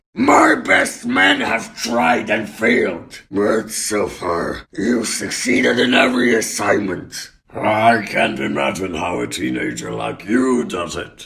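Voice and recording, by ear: A man uses a cartoonish character voice with a fairly low pitch. He speaks at a fairly slow pace with hardly any pauses.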